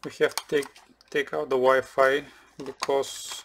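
There is light background noise. The speaker talks at a fairly slow pace. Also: man. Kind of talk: tutorial. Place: workshop.

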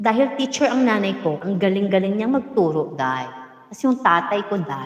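A woman's medium-pitched voice with very wide pitch swings, a moderate pace and noticeable background noise. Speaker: vlogger telling life story. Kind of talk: casual storytelling livestream. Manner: energetic, laughing often.

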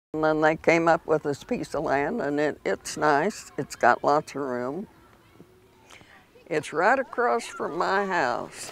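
A woman's very deep, low voice with a Midwestern US accent, lively intonation and a very slow pace, in a dry sound with no echo. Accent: rural Midwestern American. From Kansas, USA. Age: 80s+. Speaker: retired community fundraiser. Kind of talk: interview answer. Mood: contented, gentle. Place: garden.

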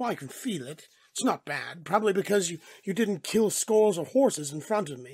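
At a middle pitch, someone performs in a put-on character voice. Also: moderate pace. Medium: read story. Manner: casual, jovial.

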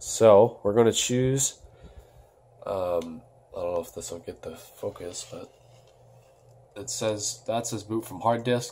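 A somewhat breathy voice speaking at a very slow pace. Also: man. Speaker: YouTuber doing computer tutorials. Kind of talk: casual tutorial. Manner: casual, filler words, halting.

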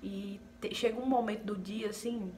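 A woman's monotone, flat delivery over light background noise. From Paraíba, Northeast Brazil. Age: 20s. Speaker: vlogger, nursing technician. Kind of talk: casual talk to camera. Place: home room. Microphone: phone near.

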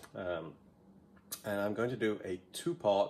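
A man talks at a moderate pace with ordinary pitch variation. Light background noise sits behind him. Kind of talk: tutorial. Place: workshop. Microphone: phone near.

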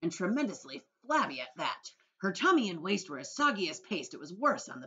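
Against a quiet background, someone reads aloud in a natural voice.

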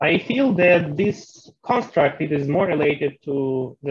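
A man's somewhat breathy voice, dry with no echo, over a quiet background. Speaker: audience member, researcher; audience member. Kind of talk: audience question. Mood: friendly, smiling. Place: open country. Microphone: video call.

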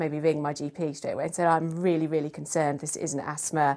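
The woman's voice is low in pitch with a slightly mellow tone. She talks at a fairly quick pace with little pitch movement.

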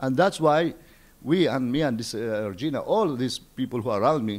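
The speaker talks at a moderate pace with lively intonation. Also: man. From Palestine. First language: Arabic. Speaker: poet and novelist; poet. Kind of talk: interview. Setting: embassy. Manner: halting. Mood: earnest, idealistic. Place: home room. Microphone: handheld.

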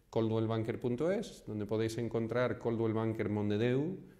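Speaking at a fairly slow pace, a man with an American accent has a dark, mellow tone, medium pitch and fairly even intonation. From Houston, Texas. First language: English (speaking Spanish). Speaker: real estate agent. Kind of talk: vlog monologue. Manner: hesitant, many fillers.

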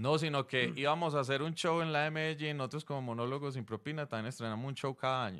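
A man's fairly high voice at a very fast pace, with hardly any pauses, ordinary pitch variation and a quiet background. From Colombia. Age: 40s. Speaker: stand-up comedian. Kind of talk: casual interview. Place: studio. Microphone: studio mic.

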